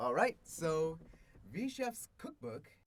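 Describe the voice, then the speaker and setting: A man speaks in a somewhat breathy voice. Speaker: actor and amateur cooking blogger. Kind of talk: interview. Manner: stutters.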